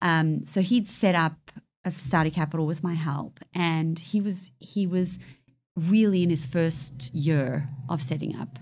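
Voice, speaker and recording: The woman's voice is somewhat breathy and fairly low in pitch. She speaks at a fairly slow pace. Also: ordinary pitch variation. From South Africa, moved to the UK in 1999. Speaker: hedge fund director. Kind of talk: interview.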